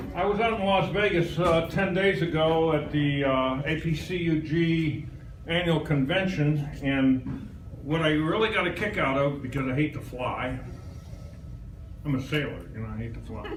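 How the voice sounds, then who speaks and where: Noticeable background noise and audible room echo around a man speaking fairly high. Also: ordinary pitch variation, moderate pace. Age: 70s. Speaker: visiting presenter at a computer user group. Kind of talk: live presentation to an audience. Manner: casual and chatty.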